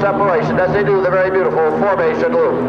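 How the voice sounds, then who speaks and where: Loud background noise surrounds this man as he talks at a fairly quick pace. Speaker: air show announcer. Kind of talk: live event commentary.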